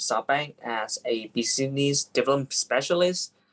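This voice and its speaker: The speech comes in a Vietnamese accent. The pace is fairly slow. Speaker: business development specialist, panelist. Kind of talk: panel discussion. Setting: video call. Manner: halting.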